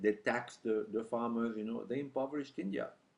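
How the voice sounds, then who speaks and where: At a fairly quick pace, a man speaks with a French accent. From France. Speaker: journalist. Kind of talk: speech. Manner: halting.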